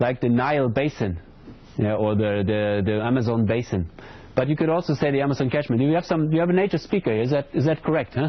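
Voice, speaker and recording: Talking at a very fast pace, a man keeps very even loudness, his medium-pitched voice carrying lively intonation. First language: not English. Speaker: hydrology lecturer. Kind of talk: lecture Q&A. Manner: hesitant, repeats words.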